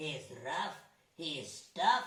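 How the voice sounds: A woman in a cartoonish character voice, fairly bright in tone, speaks at a very slow pace.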